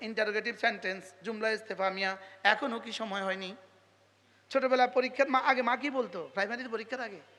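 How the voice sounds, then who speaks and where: In a raised, projected voice, a man speaks with a high pitch, an animated tone and big swings in loudness. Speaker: Islamic preacher. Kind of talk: sermon.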